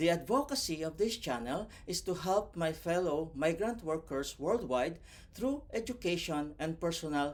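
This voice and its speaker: This man has a non-native accent and a fairly high pitch, speaking at a moderate pace with lively intonation. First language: not English. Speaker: vlogger and overseas worker. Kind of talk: motivational tutorial. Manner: scripted, careful delivery.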